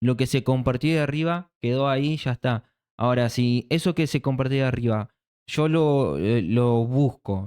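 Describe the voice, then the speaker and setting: Speaking fairly slowly, a man has a dark, mellow tone at medium pitch, captured in a very clean recording with a silent background. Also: dry, close sound with no echo. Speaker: church speaker. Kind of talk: casual chat.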